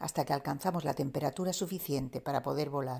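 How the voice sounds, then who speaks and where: Her voice, a woman's, has a dark, mellow tone. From Andalusia, Spain. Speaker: poet. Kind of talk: poetry reading.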